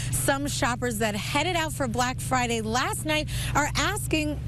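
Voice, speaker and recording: A woman's upbeat tone at a fairly slow pace over noticeable background noise. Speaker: TV reporter and host. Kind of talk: casual on-location TV hosting. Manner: upbeat, lively.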